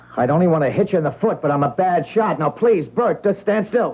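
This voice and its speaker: A high-pitched male voice with lively intonation and very even loudness, at a moderate pace over background music. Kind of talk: radio drama dialogue. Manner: tense, anxious, reluctant.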